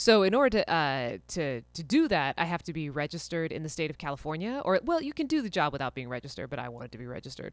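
A woman with a very deep, low pitch talks very fast, her pitch swinging widely and her loudness rising and falling sharply, on a very clean recording with a silent background. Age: 30s. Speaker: veterinary technician and podcast host. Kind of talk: solo podcast monologue. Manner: casual with many fillers and false starts.

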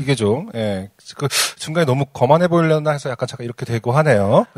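An ordinary speaking voice moves at a fairly quick pace with lively intonation, recorded with a dry, close sound and no echo. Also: man. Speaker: podcast co-host. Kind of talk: casual chat.

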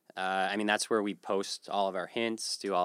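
In a very clean recording with a silent background, a man speaks at a moderate pace with a very deep, low pitch. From Atlantic Canada. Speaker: community project organizer. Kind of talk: casual interview.

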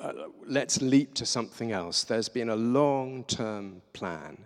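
Someone speaks at a very slow pace in a southern English accent. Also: man. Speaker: visiting preacher. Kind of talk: sermon. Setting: church. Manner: halting.

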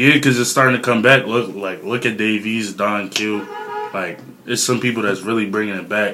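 The speaker keeps a moderate pace with ordinary pitch variation. Noticeable background noise sits behind the voice. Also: man. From Philadelphia. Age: 20s. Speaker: rapper. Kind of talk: casual chat.

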